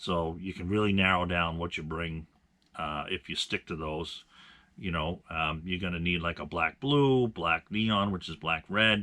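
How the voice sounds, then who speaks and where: In a very deep, low pitch, a man speaks at a fairly slow pace. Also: ordinary pitch variation. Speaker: bass fishing channel host. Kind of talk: tutorial. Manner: hesitant with many fillers.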